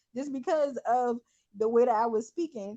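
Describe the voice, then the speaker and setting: A woman talks in a fairly high pitch with an American accent. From US South, Charleston SC, Gullah Geechee. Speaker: teacher and podcast host. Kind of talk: casual chat. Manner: animated.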